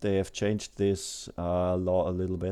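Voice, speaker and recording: In a German accent, a man speaks at a very slow pace with a fairly low pitch and a dark, mellow tone. The recording is very clean, with a silent background. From Germany. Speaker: airsoft hobbyist video maker. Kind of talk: tutorial voice-over. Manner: halting, many fillers.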